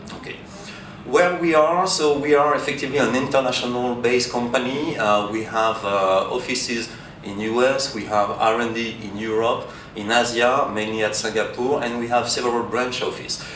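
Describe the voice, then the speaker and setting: Speaking with a French accent, a man talks at a medium pitch and a moderate pace, with ordinary pitch variation. There is audible room echo and noticeable background noise. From France. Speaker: conference speaker, test equipment company representative. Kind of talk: conference presentation. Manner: halting, many fillers.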